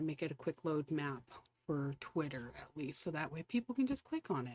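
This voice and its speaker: A soft-spoken woman's very deep, low voice, dry and close with no echo. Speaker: livestreamer giving wildfire updates. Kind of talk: live stream commentary. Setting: home live stream at night. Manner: casual, halting with fillers.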